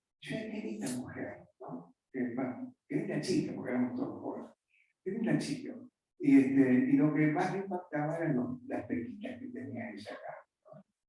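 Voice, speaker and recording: A man speaks at a moderate pace and a high pitch, his pitch swinging very widely and his loudness changing a great deal, with audible room echo. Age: 70s. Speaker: pastor. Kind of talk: sermon. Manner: conversational.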